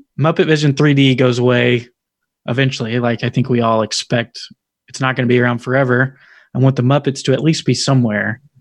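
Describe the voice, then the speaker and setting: Medium-pitched male speech in an American accent. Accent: Southern US, suppressed. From Tennessee, US South. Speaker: podcast host guest. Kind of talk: casual chat.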